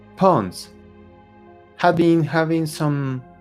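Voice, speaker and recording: Over music in the background, a man talks at a very slow pace. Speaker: game master narrating a tabletop horror RPG. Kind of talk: tabletop RPG game-master narration.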